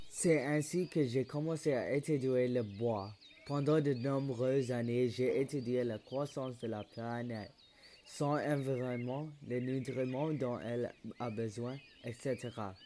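Delivered very slowly, the speech keeps a fairly level intonation. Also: man, medium pitch for a man. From Quebec. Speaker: podcast host. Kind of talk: scripted narration.

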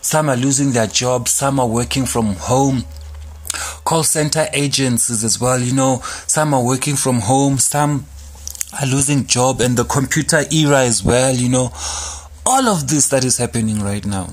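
A man at a medium pitch and moderate pace, with very even loudness, ordinary pitch variation and noticeable background noise. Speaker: online radio host. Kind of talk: casual solo radio talk. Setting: studio. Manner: calm.

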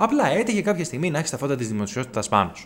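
With vocal fry and very wide pitch swings, a man speaks at a fairly quick pace. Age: 30s. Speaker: podcast host. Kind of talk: solo commentary monologue.

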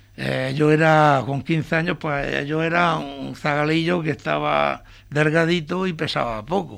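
A man with a plain, everyday voice talks at a fairly slow pace and a fairly high pitch, with ordinary pitch variation and hardly any pauses. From Murcia, Spain (Torre Pacheco area). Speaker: retired electrician. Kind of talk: interview.

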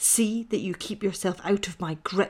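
This woman puts on a growling character voice at a medium pitch. She keeps to a moderate pace. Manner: menacing, snarling.

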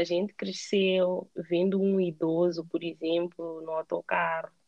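A woman speaking at a very slow pace. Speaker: emigrant interviewee. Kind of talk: casual interview. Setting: call.

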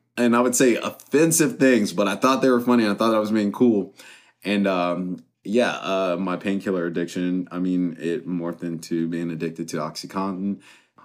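Ordinary pitch variation comes through in an American accent on a very clean recording with a silent background. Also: man, very deep, low pitch for a man, moderate pace. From US West, Las Vegas, Nevada. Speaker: union electrician and recovery advocate. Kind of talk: casual interview, personal testimony.

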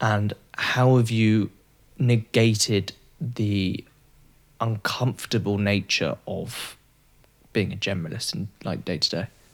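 A man with an English accent speaks very slowly at a fairly low pitch, with ordinary pitch variation. Long pauses come often. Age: 20s. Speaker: podcast host. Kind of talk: casual interview.

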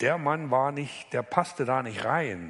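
This man's fairly slow speech carries ordinary pitch variation. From eastern Germany, Upper Lusatia. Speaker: author and former spy. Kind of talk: author reading and interview. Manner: halting.

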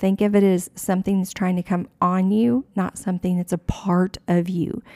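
A woman speaks at medium pitch and a moderate pace, her tone dark and mellow with fairly even intonation. The sound is dry and close, with no echo. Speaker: podcast host. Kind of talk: fervent faith-podcast exhortation, preacher-style encouragement. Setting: working from home. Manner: impassioned, urging, rising exhortations.

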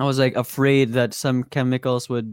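A man with a Visayan Filipino accent speaks at a moderate pace and a medium pitch. The recording is very clean with a silent background and a dry, close sound with no echo. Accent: Filipino (Cebuano) English. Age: 20s. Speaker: musician. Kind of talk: casual chat.

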